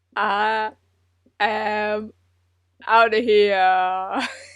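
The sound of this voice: In a put-on character voice, a female-sounding speaker sounds robotic, with a medium pitch and monotone, flat intonation.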